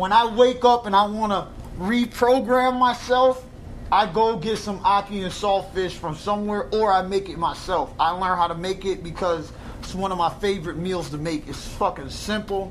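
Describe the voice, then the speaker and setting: Over noticeable background noise, a man speaks in a high voice at a moderate pace with ordinary pitch variation. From New York (Brooklyn/Brownsville), moved to Florida at 12. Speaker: rapper. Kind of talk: casual chat. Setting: barbershop.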